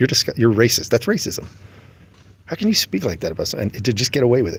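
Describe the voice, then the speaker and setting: A man speaks quietly with an American accent. His voice is somewhat breathy. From United States. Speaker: religious livestreamer. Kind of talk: casual livestream talk. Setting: airport. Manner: trying to talk quietly; animated.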